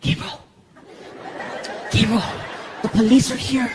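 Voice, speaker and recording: A put-on character voice runs at a moderate pace in a fairly high pitch. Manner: whispering.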